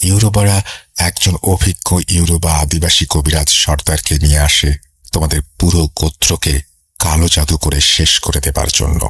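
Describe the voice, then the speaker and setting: Very deep and low in pitch, a man speaks with very even loudness and fairly even intonation. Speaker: horror radio host. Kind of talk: horror story narration.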